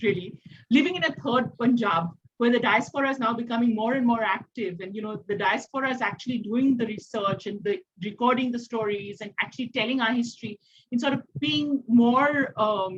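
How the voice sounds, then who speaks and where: A woman's fairly high voice with ordinary pitch variation and a fairly quick pace. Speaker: panelist. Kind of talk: discussion panel. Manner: soft-spoken; halting.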